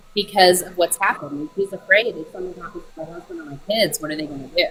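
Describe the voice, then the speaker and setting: A woman with an American accent speaks at a medium pitch and a very fast pace. Her pitch varies in an ordinary way, with noticeable background noise. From Colorado, US. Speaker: caller. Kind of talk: casual debate.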